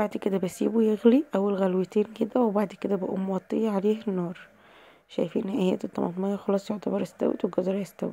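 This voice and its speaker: A woman speaks with an Egyptian accent at a mid pitch and a fairly quick pace. Her intonation stays fairly even, and there is noticeable background noise. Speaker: cooking channel host. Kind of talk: cooking tutorial.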